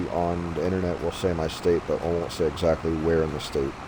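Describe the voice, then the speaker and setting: Noticeable background noise runs through the clip. A man talks in an American accent. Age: 30s. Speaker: gaming streamer. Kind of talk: casual chat.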